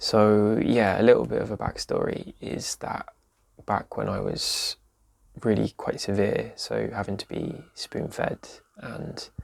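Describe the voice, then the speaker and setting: The speech moves at a fairly slow pace. It carries an English accent. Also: man. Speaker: vlogger with chronic illness. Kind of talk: casual vlog talk. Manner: soft-spoken, quiet; hesitant with fillers.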